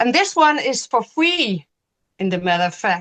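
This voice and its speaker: This woman talks with a Danish accent and very wide pitch swings, recorded with a dry, close sound and no echo. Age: 50s. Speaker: knitting podcast co-host and teacher. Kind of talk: casual chat. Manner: halting, hesitant.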